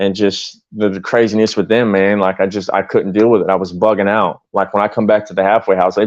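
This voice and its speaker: Against a quiet background, a man speaks at a very fast pace with hardly any pauses, his fairly low voice in monotone, flat intonation. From Florida. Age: 30s. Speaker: former prisoner. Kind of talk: casual chat. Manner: halting.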